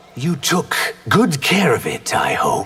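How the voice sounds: A man speaks at a fairly slow pace in a cartoonish character voice, his pitch high.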